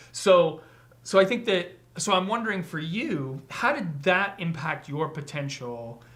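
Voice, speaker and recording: Speaking at a fairly slow pace, a man uses a high pitch and lively intonation. Audible room echo surrounds his voice. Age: 40s. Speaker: podcast host. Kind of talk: casual chat. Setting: livestream.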